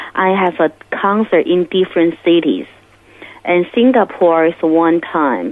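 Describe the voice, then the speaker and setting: Against noticeable background noise, a woman with a fairly low pitch speaks at a fairly slow pace, her pitch variation ordinary and her loudness very even. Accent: Chinese. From Beijing, China. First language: Mandarin Chinese. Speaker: musician. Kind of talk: testimony. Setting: phone call. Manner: halting.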